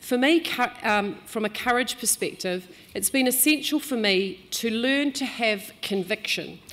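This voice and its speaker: This voice has a New Zealand accent and lively intonation. The pace is fairly slow. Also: woman, fairly high pitch for a woman. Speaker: business executive. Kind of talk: speech. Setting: stage with audience.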